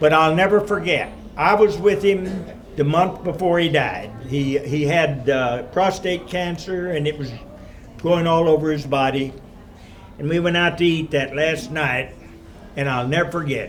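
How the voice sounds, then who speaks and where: Someone talks at a fairly slow pace in a Texan accent, with ordinary pitch variation. There is audible room echo and noticeable background noise. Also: man, fairly high pitch for a man. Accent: Texan US Southern. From Texas, San Antonio. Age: 70s. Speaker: retired math professor, invited speaker. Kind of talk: lecture. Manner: halting.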